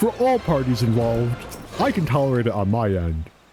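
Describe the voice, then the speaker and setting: Music can be heard behind the speaker. He is a man talking at a moderate pace. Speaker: game streamer. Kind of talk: casual live-stream commentary. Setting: live stream. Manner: halting, repeating words.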